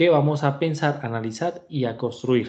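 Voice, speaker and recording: A man's dark, mellow tone at a fairly slow pace over a quiet background. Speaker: university lecturer. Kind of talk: online class lecture. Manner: hesitant fillers.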